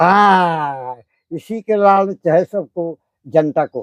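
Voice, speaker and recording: With lively intonation, a man speaks in a dry, close sound without echo. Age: 80s+. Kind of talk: satsang conversation, interview answers.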